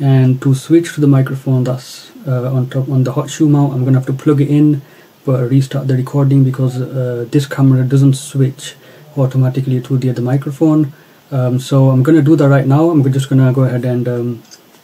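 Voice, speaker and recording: A man with a dark, mellow tone talks fairly quickly, somewhat breathy, with monotone, flat intonation. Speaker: gear reviewer. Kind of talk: tutorial. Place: home room. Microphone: phone near.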